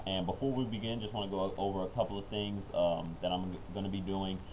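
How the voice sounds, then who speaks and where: Here a man has a plain, everyday voice and a fairly low pitch. He talks at a fairly quick pace. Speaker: card game commentator. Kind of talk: live gameplay commentary. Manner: casual, upbeat.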